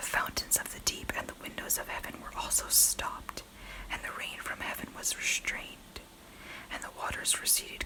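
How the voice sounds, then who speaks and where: The speaker is whispering at a moderate pace. Noticeable background noise is present. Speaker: ASMR Bible reader. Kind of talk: Bible reading. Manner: whispered.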